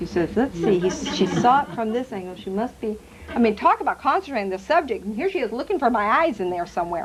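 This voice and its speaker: A woman's animated, fairly high voice at a very fast pace, with very wide pitch swings and noticeable background noise. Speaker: psychic medium. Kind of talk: talk to a live audience.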